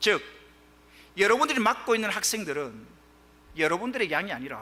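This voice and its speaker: Raising and projecting his voice, a man speaks at a high pitch with very wide pitch swings. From Gyeongsang region, South Korea. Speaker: pastor. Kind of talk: sermon.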